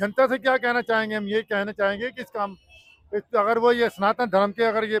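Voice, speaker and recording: Dry and close with no echo, a man's high voice moves at a moderate pace with fairly even intonation. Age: 60s. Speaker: temple volunteer. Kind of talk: street interview, protest. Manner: agitated, argumentative.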